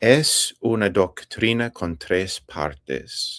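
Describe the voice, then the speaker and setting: With an English accent, a man speaks at a very slow pace in a bright, sharp tone. The recording is very clean, dry and close, with a silent background and no echo. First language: English (speaking Spanish). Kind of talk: interview. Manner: halting, with fillers.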